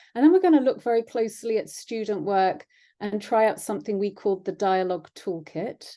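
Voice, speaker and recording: A woman talks at a fairly quick pace at a medium pitch, her tone dark and mellow. Her pitch varies in an ordinary way over a quiet background. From England. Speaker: education researcher, former history teacher. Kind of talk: webinar presentation. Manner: hesitant, many fillers.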